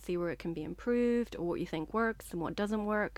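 A woman talks at a fairly quick pace with a Northern Irish accent. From Northern Ireland. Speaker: short story writer. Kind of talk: interview.

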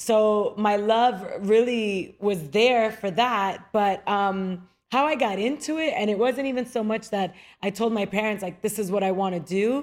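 Speaking with an American accent, a woman has a fairly high pitch with ordinary variation. Her pace is fairly slow. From Queens, New York, Dominican background. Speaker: TV host and actress. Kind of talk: casual interview.

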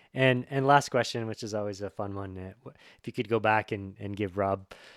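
A man's normal speaking voice at a moderate pace, with a dry, close sound with no echo and a very clean recording over a silent background. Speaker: podcast host. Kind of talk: interview with ad reads.

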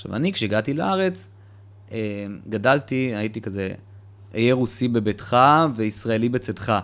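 Long, frequent pauses break up a man's speech. He talks at a moderate pace with a medium pitch and ordinary pitch variation. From Israel, Petah Tikva. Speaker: cultural venue founder and manager. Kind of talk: casual interview. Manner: animated.

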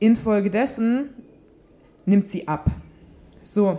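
A woman's voice of medium pitch with a dark, mellow tone. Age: 20s. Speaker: fitness podcast host, sports science student. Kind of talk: solo podcast monologue. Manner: casual with frequent filler sounds.

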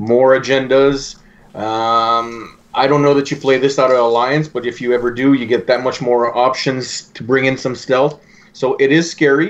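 A man with a French Canadian accent speaks at a moderate pace in a medium pitch, his intonation fairly even. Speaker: podcast host. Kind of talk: casual chat.

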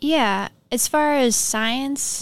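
A woman talks with an Upper Midwest accent. The recording is very clean, with a silent background. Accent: Upper Midwest (Minnesota). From Minnesota. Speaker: environmental technician. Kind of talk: interview conversation. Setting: studio.

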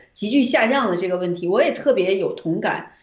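Her pitch rises and falls in an ordinary way. The woman's voice carries audible echo from the room. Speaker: activist guest. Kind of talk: casual chat.

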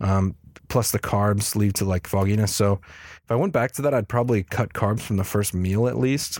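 In a very clean, dry and close recording with no echo and a silent background, a man talks at a fairly low pitch and moderate pace, his loudness very even. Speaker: podcast host. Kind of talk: solo podcast update, casual. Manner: monotone; casual, filler-heavy.

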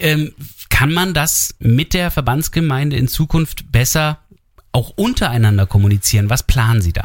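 Lively intonation from a somewhat breathy man, medium pitch and a moderate pace. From Germany, half east half west. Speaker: radio host. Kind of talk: radio interview.

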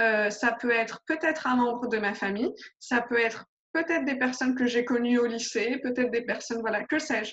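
Her voice sits high, and the woman's pitch varies in an ordinary way. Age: 30s. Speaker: life coach. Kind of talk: interview.

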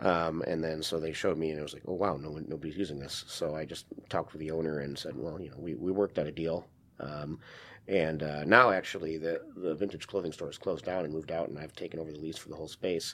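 A man with an American accent, very deep and low in pitch, at a very fast pace with fairly even intonation. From Wisconsin, US Midwest. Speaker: improv comedy theater owner. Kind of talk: interview.

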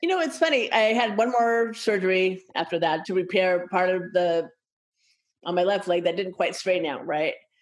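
At a moderate pace and medium pitch, a woman talks in a plain, everyday voice with ordinary pitch variation. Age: 60s. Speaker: patient advocacy nonprofit director. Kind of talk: interview.

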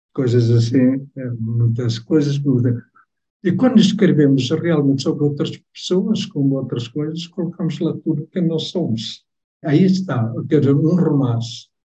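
A man speaks at a fairly slow pace with a dark, mellow, somewhat breathy tone. His pitch sits fairly high and varies in an ordinary way. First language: Tetum (speaking Portuguese). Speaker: novelist. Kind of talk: book club interview.

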